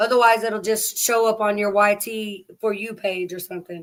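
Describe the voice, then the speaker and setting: Speaking at a moderate pace with an American accent, a woman keeps a medium pitch and a monotone, flat intonation. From Oklahoma. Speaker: live streamer. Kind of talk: casual chat. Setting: livestream. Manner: casual, chatty.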